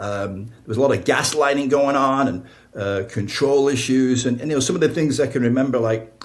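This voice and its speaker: Amid audible room echo, a man with an American accent talks at a fairly quick pace with a medium pitch and ordinary pitch variation. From northern England, Blackpool. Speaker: author and spiritual counselor. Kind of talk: podcast interview, personal testimony. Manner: conversational, many fillers.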